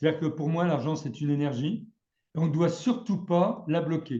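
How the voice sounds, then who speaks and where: This man's voice sits fairly high in pitch. Its tone comes across dark and mellow. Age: 60s. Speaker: trading trainer. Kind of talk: casual chat. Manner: halting.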